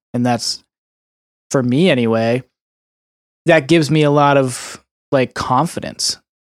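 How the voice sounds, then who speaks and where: At a fairly slow pace, a man talks in a plain, everyday voice with medium pitch and fairly even intonation. The recording is very clean, with a silent background. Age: 30s. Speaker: salesperson starting a video production company. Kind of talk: casual chat.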